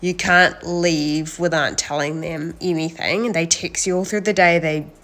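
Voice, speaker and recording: A woman with a New Zealand accent speaks at a fairly low pitch. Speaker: reality TV contestant. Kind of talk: casual chat. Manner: animated.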